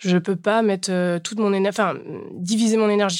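The intonation stays fairly even throughout. It belongs to a woman. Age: 30s. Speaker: bereaved daughter sharing her story. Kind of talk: testimony. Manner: casual, colloquial.

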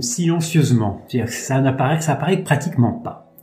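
Noticeable background noise behind a man speaking at a fairly high pitch, with ordinary pitch variation. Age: 50s. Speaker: kidney transplant patient. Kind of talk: testimony. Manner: halting.

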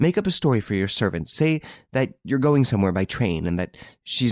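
Lively intonation marks this natural reading voice. Behind it, the setting is quiet.

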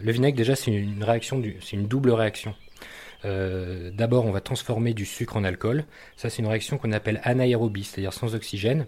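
A man with a medium pitch and a dark, mellow tone talks at a fairly quick pace. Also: fairly even intonation. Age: 40s. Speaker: artisan vinegar and mustard maker. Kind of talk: interview. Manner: hesitant, many fillers and repetitions.

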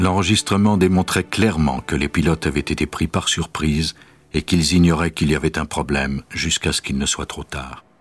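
A man's very deep, low voice with vocal fry and a dramatic tone, ordinary pitch variation, and a dry, close sound with no echo. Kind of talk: true-crime documentary narration. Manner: measured, even, grave storyteller's delivery; formal, steady pace, dramatic and detached.

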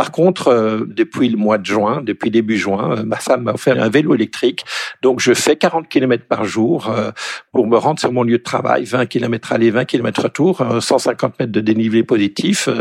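With a plain, everyday voice, a man talks at a fairly slow pace with ordinary pitch variation. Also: medium pitch for a man. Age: 60s. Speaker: economist. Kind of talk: interview.

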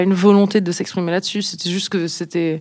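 The speaker is a woman using a moderate pace. Her intonation stays fairly even. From France, Nice. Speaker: pop band singer. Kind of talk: interview. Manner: halting, many fillers.

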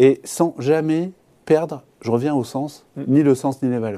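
A man speaks in a dark, mellow tone with ordinary pitch variation. The recording is very clean and the background silent. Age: 40s. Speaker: company CEO and founder. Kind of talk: business interview. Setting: TV studio. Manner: hesitant, repeats words.

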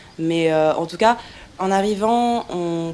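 A woman's fairly low voice amid noticeable background noise. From Paris suburbs, France. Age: 20s. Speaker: freelance journalist. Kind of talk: testimony.

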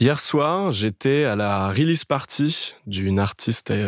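Recorded very cleanly with a silent background and a dry, close sound with no echo, a man uses an unremarkable speaking voice at a fairly low pitch with ordinary pitch variation. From Paris area (Boulogne-Billancourt). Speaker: dating podcast guest, video maker in music. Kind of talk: casual interview.

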